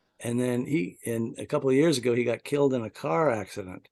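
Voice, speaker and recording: There's a dark, mellow tone to this man's medium pitch, which has ordinary pitch variation. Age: 60s. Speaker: horror author. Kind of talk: interview. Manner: halting, many repeated words.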